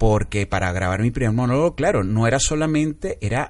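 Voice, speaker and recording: A man with an ordinary speaking voice talks at a medium pitch. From Venezuela and Panama. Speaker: comedian and film director. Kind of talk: casual interview chat.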